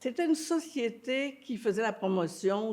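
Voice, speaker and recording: Very wide pitch swings in a woman's fairly high voice, at a fairly slow pace. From Quebec, Montreal. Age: 80s+. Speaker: actress and theatre director. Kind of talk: interview.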